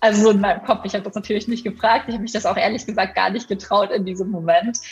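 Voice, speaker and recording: Fairly even intonation runs through this somewhat breathy voice. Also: woman. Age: 20s. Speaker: primatologist and author. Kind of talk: interview.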